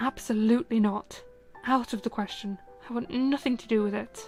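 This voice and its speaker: A woman talks at a moderate pace. Background music accompanies her. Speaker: streamer. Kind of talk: audiobook reading. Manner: soft-spoken.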